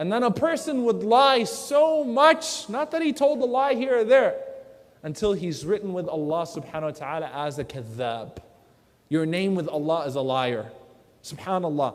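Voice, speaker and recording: A man speaks at a high pitch and a moderate pace. His pitch swings very widely, and there is noticeable background noise. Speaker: Islamic lecturer. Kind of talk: Islamic motivational lecture.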